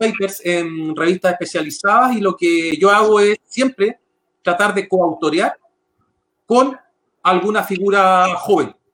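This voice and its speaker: A man talks at a fairly slow pace. His pitch is high and his intonation fairly even. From Chile, San Bernardo (Santiago area). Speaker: political scientist, election expert. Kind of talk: interview on politics.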